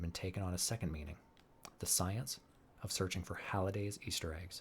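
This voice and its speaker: A man's very deep, low, somewhat breathy voice, calm in tone, with fairly even intonation at a fairly quick pace. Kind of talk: audiobook reading. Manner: calm, relaxing.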